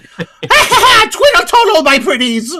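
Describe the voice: A man's put-on character voice, cackling at an extremely high pitch.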